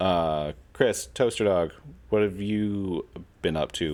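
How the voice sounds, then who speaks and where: On a very clean recording with a silent background, a man talks in a very deep, low pitch with ordinary pitch variation. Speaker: podcast host. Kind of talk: casual chat. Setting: live stream panel podcast. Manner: loud.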